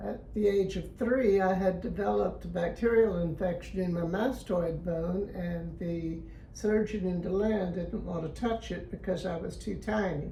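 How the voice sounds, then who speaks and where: A woman talks with hardly any pauses. Audible room echo and noticeable background noise fill the recording. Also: moderate pace. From Florida, US. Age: 90s. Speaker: interviewee sharing life memories. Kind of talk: interview, personal reminiscence.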